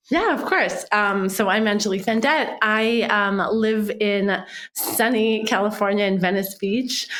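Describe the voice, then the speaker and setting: Speaking at a fairly slow pace, a woman has a fairly high pitch, fairly even intonation and very even loudness. Noticeable background noise and audible room echo can be heard. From Quebec City, Canada. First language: French. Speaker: marketing executive. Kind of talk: interview.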